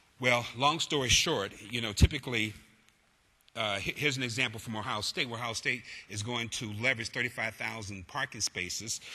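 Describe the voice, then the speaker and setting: Moving at a fairly quick pace, a man speaks in a bright, sharp tone. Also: quiet background. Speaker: college president. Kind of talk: conference presentation. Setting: stage with audience. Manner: fast.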